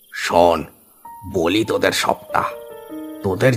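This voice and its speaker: A man's raspy, fairly low put-on character voice at a fairly slow pace, with faint music in the background. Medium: cartoon. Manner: fatherly, addressing the young men with familiar terms.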